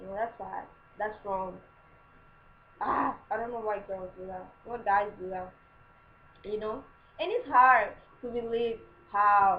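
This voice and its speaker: A woman with a non-native accent and a fairly high pitch speaks at a fairly slow pace with long, frequent pauses. Her intonation stays fairly even while her loudness swings widely. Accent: foreign. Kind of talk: casual advice talk to camera. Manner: chatty, informal.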